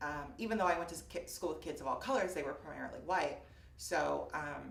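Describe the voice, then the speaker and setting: A woman talks at a fairly quick pace, with noticeable background noise and audible room echo. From US Midwest, Fort Wayne, Indiana. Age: 20s. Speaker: interviewee sharing personal story. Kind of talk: personal testimony interview. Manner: hesitant, many fillers.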